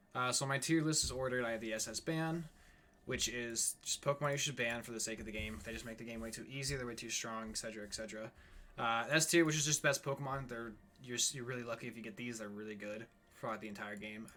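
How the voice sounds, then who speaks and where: A man speaks quietly and very fast, his medium-pitched voice bright and sharp in tone, with ordinary pitch variation. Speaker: gaming YouTuber. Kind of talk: casual commentary. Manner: halting with fillers.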